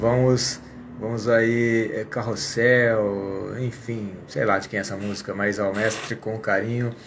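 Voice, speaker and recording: Over noticeable background noise, a man speaks at a very slow pace. His pitch is medium and his intonation is monotone and flat. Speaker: English teacher. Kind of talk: casual live stream talk.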